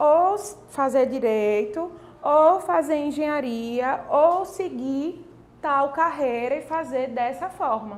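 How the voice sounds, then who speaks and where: Audible room echo surrounds a woman who speaks very slowly in a high pitch with lively intonation. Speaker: online course teacher. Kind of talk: online class.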